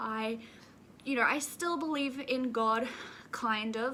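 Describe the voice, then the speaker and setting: A woman speaks with an Australian accent and ordinary pitch variation. Noticeable background noise is present. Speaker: YouTuber. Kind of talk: casual vlog talk to camera.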